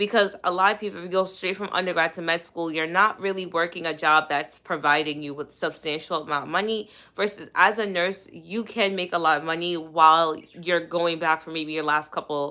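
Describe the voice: Speaking at a fairly quick pace, a woman has a bright, sharp tone, a fairly low pitch and fairly even intonation.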